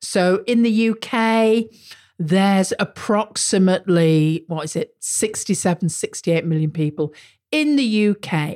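Lively intonation and a British accent mark this fairly slow speech on a very clean recording with a silent background. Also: woman, medium pitch for a woman. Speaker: marketing podcast host. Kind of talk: solo podcast monologue. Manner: casual, conversational.

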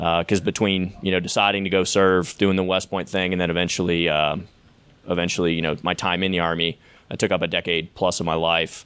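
A man with an American accent speaks at a fairly quick pace in a very deep, low voice, his intonation monotone and flat and his loudness very even. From Pittsburgh area, Pennsylvania. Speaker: Army veteran. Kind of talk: live storytelling to an audience. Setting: live event with audience.

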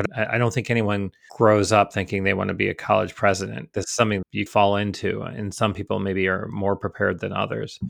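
A man's fairly low voice with an American accent, vocal fry, fairly even intonation and hardly any pauses. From upstate New York. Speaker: college president and artist. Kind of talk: interview.

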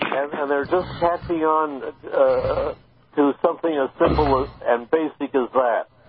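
Noticeable background noise sits behind the recording. A man speaks at a fairly slow pace. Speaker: radio guest, commentator. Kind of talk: talk radio discussion. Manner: halting.

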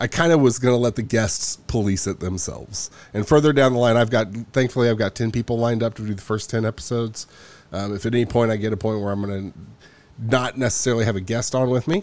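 A man talks very fast at a medium pitch. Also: ordinary pitch variation. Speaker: podcast host. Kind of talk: casual interview chat.

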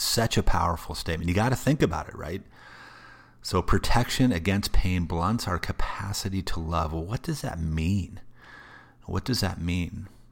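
This man's pitch is very deep and low, with ordinary pitch variation. He talks at a moderate pace. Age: 40s. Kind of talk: faith-based solo talk. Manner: casual, filler-heavy and repetitive.

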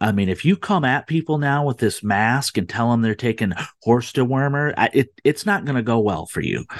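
A man speaks with an American accent at a moderate pace. The sound is dry and close with no echo, and the background is quiet. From Michigan. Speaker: political activist and group founder. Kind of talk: talk radio interview. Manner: hesitant, many fillers.

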